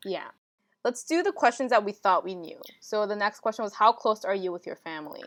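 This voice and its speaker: A woman with a fairly high pitch talks at a fairly quick pace with lively intonation and big swings in loudness. The sound is dry and close with no echo, over a quiet background. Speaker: podcast co-host. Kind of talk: casual chat. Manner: animated.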